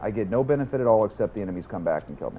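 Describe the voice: The voice makes big pitch swings and moves at a very fast pace. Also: man, fairly low pitch for a man.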